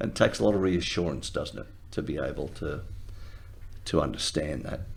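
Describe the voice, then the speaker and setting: A very deep, low-pitched man's voice with vocal fry, ordinary pitch variation and a fairly quick pace, in audible room echo. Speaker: retired lawyer. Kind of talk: interview.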